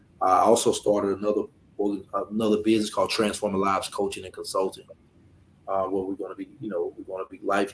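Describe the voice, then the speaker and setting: Speaking very fast, a man talks in an American accent. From US South, Alabama. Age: 40s. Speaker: life coach and former felon. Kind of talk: interview. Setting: video call from his office.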